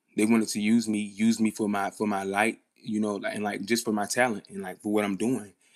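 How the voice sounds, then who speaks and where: A man's fairly low voice at a fairly quick pace, monotone and flat, with music in the background. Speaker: live streamer. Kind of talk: casual livestream talk.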